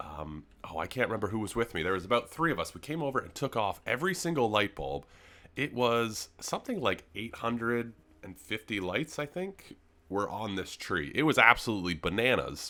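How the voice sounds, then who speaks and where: A man with a medium-pitched, bright and sharp voice, vocal fry and very wide pitch swings speaks at a fairly quick pace on a very clean recording with a silent background. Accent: Canadian. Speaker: gaming youtuber. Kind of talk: gameplay commentary. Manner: fast.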